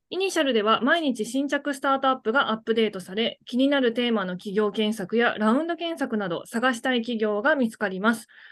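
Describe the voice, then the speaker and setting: The speaker moves at a fairly quick pace with lively intonation and hardly any pauses against a quiet background. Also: woman, fairly high pitch for a woman. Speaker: podcast co-host, former banker. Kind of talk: casual chat. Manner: upbeat, high energy.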